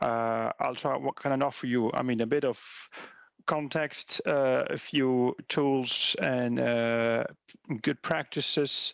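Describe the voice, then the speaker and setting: In a Belgian accent, a man speaks at a very slow pace with very even loudness. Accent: Belgian accent, similar to German. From Belgium. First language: not English. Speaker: policy researcher. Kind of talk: conference presentation. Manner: halting, many fillers and repetitions.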